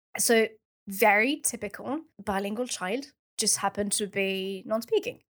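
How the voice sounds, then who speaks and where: A speaker with a French accent uses ordinary pitch variation. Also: woman, fairly high pitch for a woman, moderate pace. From France. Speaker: researcher, PhD graduate. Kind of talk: casual interview.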